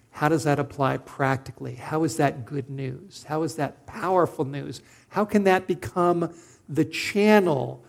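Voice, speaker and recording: A man speaks with a Californian accent at a fairly slow pace. His pitch shows ordinary variation. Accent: General American (Californian). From Southern California. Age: 50s. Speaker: preacher. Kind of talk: sermon.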